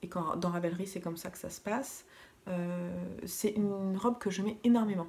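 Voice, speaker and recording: A soft-spoken, somewhat breathy woman's voice of medium pitch, with fairly even intonation, big swings in loudness and a moderate pace. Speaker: knitting vlogger. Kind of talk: casual vlog talk. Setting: at home in living room.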